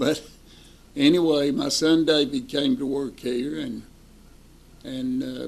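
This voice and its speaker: At a very slow pace, a man talks with an East Tennessee accent. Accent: Southern US (East Tennessee). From US South. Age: 80s+. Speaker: retired bank president. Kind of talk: interview reminiscence.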